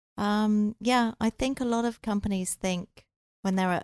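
Fairly slow speech with an English accent, in a dry, close sound with no echo. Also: woman, very clean recording, silent background. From England. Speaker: recruiter. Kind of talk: casual chat.

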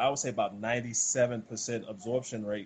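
In a Southern US accent, a man talks at a medium pitch with fairly even intonation. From US South, rural South Carolina. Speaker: former pro basketball player, wellness product seller. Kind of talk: casual interview, sales pitch.

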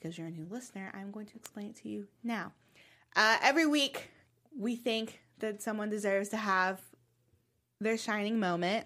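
A woman's plain, everyday voice with an American accent, medium in pitch, moderate in pace, lively in intonation, with big swings in loudness, on a very clean recording with a silent background. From US South. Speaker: TV after-show host. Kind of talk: casual chat.

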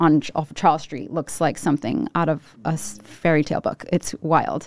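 In a Rhode Island accent, a woman speaks at a moderate pace with a fairly low pitch. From Rhode Island, Providence. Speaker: food reviewer. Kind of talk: casual chat.

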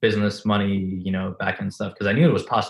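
Speaking fast with a non-native accent, a man has a low pitch and a slightly husky edge.

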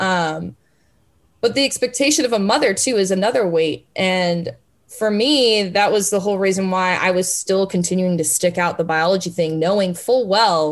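Against a quiet background, a woman with an ordinary speaking voice talks at a medium pitch. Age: 20s. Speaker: sports journalist. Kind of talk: interview. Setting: remote call from home.

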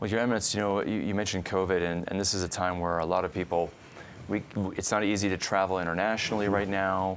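Talking at a very fast pace, a man with an American accent keeps his intonation fairly even. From northern Illinois. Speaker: podcast host and Bible scholar. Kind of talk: interview. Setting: studio.

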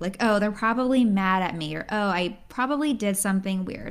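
A woman's plain, everyday voice, medium in pitch with lively intonation, on a very clean recording with a silent background. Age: 20s. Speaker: podcast host and pharmacist. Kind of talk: solo podcast monologue.

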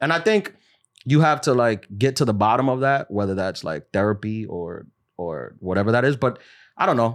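In an American accent and a normal speaking voice, a man talks at a moderate pace with lively intonation. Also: very clean recording, silent background. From New York City. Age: 30s. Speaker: comedian. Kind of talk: casual chat.

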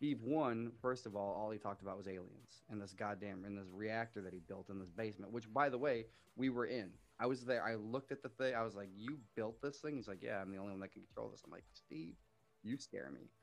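A man speaks fairly quickly in an ordinary speaking voice, fairly low in pitch with ordinary pitch variation. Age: 30s. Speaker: army veteran, nonprofit podcaster. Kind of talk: casual chat.

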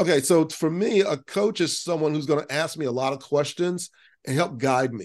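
A man with an unremarkable speaking voice talks in an American accent at a fairly high pitch. His pace is moderate, his pitch variation ordinary, and the background quiet. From US South, Central Florida. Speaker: business CEO and musician. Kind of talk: interview.

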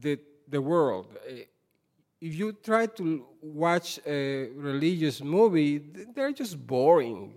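A man speaks with a fairly high pitch. His pace is very slow. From Puerto Rico. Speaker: institute founder and panelist. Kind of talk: panel talk, public speech.

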